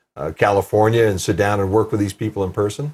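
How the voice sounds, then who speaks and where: A man is speaking. His voice is somewhat breathy. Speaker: TV show host. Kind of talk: TV interview questions.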